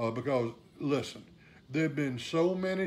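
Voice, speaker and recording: This is a man with an ordinary speaking voice. His pitch varies in an ordinary way. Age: 60s. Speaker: saxophonist and repair teacher. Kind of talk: live stream talk. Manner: casual, many fillers.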